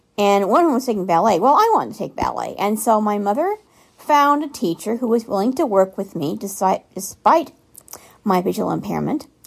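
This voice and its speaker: A woman with an American accent and a normal speaking voice, fairly high in pitch, at a fairly quick pace with lively intonation. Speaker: listener contributor. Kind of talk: recorded voice message.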